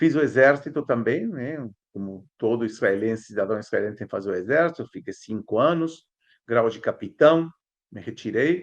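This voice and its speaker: A man with an Argentine accent and medium pitch, at a moderate pace, with lively intonation and big swings in loudness, over a quiet background. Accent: good Portuguese pronunciation, Argentine. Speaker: historian and archaeology professor. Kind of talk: interview conversation.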